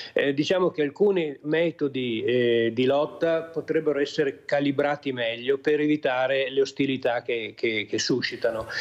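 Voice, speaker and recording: Hardly pausing, a man with a fairly high pitch talks at a moderate pace, keeping very even loudness and ordinary pitch variation. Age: 60s. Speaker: journalist and climate commentator. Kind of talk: TV talk show discussion. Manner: halting, many fillers.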